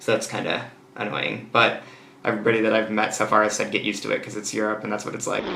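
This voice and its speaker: A man with an American accent talks at a very fast pace in a fairly low pitch and a monotone, flat intonation. Noticeable background noise and audible room echo fill the recording. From United States. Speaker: exchange student vlogger. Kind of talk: casual vlog monologue. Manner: hesitant, many fillers.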